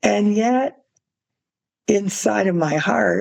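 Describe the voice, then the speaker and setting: This woman talks at a medium pitch. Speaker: podcast host. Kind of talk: interview conversation. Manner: halting, many fillers.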